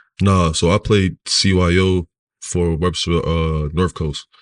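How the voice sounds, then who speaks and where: A man with an American accent speaks in a very deep, low voice. His intonation is monotone and flat, with a dry, close sound and no echo. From New York City (Harlem) and Rochester, New York. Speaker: former basketball player. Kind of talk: casual interview chat.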